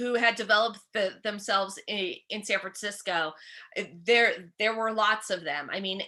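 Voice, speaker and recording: Over a quiet background, a woman with a bright, sharp tone speaks at a moderate pace with fairly even intonation. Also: medium pitch for a woman. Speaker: comedian and author. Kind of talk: interview answer.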